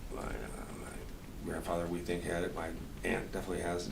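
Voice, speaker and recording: A man with a very deep, low voice talks at a moderate pace, with audible room echo and noticeable background noise. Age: 60s. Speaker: musician. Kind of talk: interview. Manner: halting, with repeated words.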